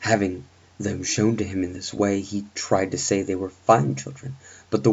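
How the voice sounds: The intonation holds fairly even. The delivery is a natural reading voice.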